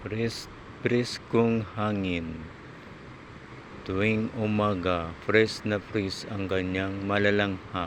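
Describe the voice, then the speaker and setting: With noticeable background noise behind him, a man speaks at a very slow pace in a monotone, flat intonation. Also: fairly low pitch for a man. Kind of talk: vlog narration.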